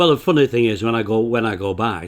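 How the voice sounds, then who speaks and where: This is a man speaking. His pitch is fairly low. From northern England, Bolton, Lancashire. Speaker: retired accountant, author. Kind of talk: casual chat. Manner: halting, repeats words.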